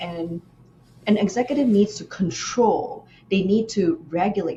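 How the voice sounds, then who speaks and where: Her pitch sits in the medium range, and she moves at a moderate pace with lively intonation. Noticeable background noise runs behind this woman's voice. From Malaysia. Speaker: nephrologist and executive presence coach. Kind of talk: interview.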